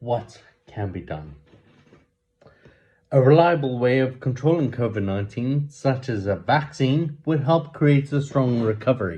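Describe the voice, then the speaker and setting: A man with a South African accent, a dark, mellow tone, somewhat breathy delivery and lively intonation. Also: medium pitch for a man. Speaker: amateur news reader. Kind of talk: reading aloud. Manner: halting, with repeated words and self-corrections.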